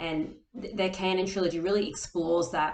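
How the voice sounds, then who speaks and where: Speaking at a moderate pace, a woman with an Australian accent keeps her intonation fairly even. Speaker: author and booktuber. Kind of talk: casual vlog talk. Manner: hesitant, many fillers.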